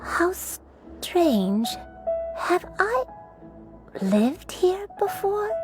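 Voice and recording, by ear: A woman puts on a character voice, pitched extremely high with big swings up and down, delivered at a very slow pace. Faint music plays in the background.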